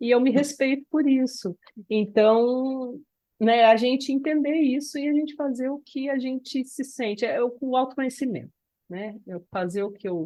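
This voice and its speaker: A woman speaks at a high pitch in a dark, mellow tone. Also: ordinary pitch variation, moderate pace. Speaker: podcast co-host. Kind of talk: casual chat.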